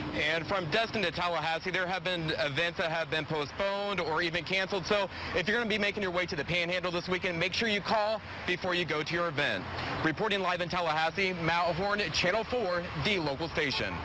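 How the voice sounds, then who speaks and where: A man talks at a very fast pace in a high pitch, his loudness very even and his intonation fairly even. Noticeable background noise runs behind him. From Ohio. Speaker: news reporter. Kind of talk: news reporting. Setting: live on location.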